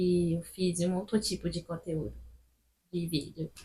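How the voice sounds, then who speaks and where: Fairly slow, somewhat breathy speech from a woman at medium pitch with fairly even intonation. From Gabon. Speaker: student vlogger. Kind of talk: casual vlog talk to camera.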